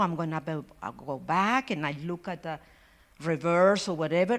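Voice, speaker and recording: A woman in a Spanish accent, with ordinary pitch variation. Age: 60s. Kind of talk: personal testimony. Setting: church forum with audience, holding mic. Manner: halting.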